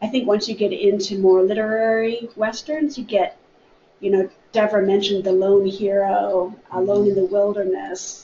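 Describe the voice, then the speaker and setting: Over light background noise and audible room echo, a woman with an American accent talks at a medium pitch and a moderate pace, with fairly even intonation and very even loudness. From US Midwest. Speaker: library staff member. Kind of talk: book discussion. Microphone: webcam.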